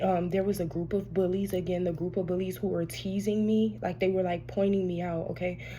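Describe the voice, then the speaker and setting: A woman's somewhat breathy, medium-pitched voice with fairly even intonation, hardly any pauses and audible room echo. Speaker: tarot reader. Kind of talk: casual spiritual reading monologue. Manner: soft-spoken; halting, many fillers.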